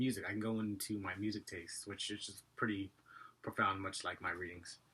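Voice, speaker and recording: The voice has a bright, sharp tone and a monotone, flat delivery at a fairly quick pace. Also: man, fairly low pitch for a man. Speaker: vlogger. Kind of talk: casual vlog monologue. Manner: fast.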